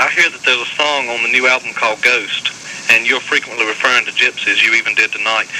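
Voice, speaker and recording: A man with an American accent at a very fast pace, amid noticeable background noise. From North Carolina, US South. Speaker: caller. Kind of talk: radio call-in question.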